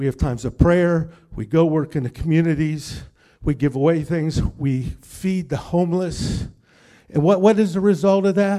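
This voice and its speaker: A man talks at a moderate pace with a fairly high pitch, ordinary pitch variation and a dark, mellow tone. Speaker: missionary. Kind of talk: testimony, church talk.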